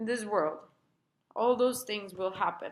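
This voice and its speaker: Someone speaks with a Spanish accent at a moderate pace, using ordinary pitch variation. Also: woman. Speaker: therapist and healer sharing recovery experience. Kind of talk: personal advice video. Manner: casual, conversational.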